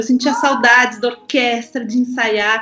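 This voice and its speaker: Noticeable background noise surrounds a woman whose high voice stays monotone and flat at a moderate pace. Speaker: violinist and mother. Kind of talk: casual chat.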